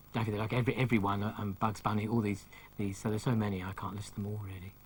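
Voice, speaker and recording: Somewhat breathy and fairly low in pitch, a man races at a very fast pace with monotone, flat intonation. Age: 60s. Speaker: comic illustrator. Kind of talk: TV interview. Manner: halting, frequent ums.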